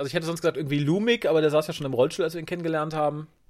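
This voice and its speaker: The speaker is a man with a fairly high pitch. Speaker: podcast co-host. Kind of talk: casual chat. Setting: remote, lying on sofa at home.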